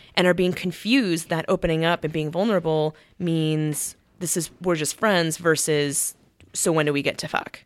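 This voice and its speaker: In a very clean recording with a silent background, a woman speaks at a moderate pace with an American accent. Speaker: social worker. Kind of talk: casual chat.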